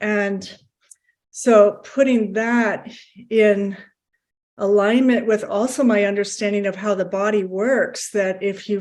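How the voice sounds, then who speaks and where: A woman speaks at a medium pitch with fairly even intonation. She has an unremarkable speaking voice. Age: 60s. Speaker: heart health program participant. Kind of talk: casual chat.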